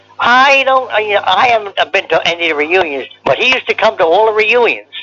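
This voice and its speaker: A man's raised, projected voice with lively intonation at a moderate pace, over noticeable background noise. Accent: American. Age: 90s. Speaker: war veteran. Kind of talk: oral history interview. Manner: halting, repetitive.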